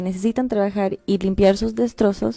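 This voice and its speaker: Her dark, mellow voice sits at a medium pitch as a woman speaks at a moderate pace with fairly even intonation, in a dry, close sound with no echo. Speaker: activist. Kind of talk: interview.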